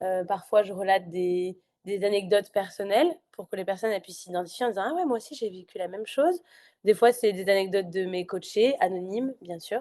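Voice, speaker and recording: Over a quiet background, a woman with a dark, mellow tone speaks at a fairly quick pace, with big swings in loudness and ordinary pitch variation. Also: medium pitch for a woman. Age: 20s. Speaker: life coach and podcaster. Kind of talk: podcast interview. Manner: talkative, hesitant with many fillers.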